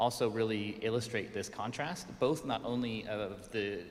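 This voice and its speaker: Audible room echo surrounds a man with a Colorado accent and a fairly low pitch. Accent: American, Colorado. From US, Colorado (Pueblo). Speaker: urban design consultant. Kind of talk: conference presentation. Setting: stage with audience, also streamed on Zoom.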